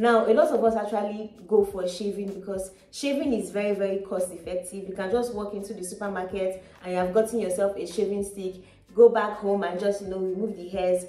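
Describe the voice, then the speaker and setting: A woman speaks at a fairly quick pace with fairly even intonation amid audible room echo. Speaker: beauty vlogger. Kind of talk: tutorial. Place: home room.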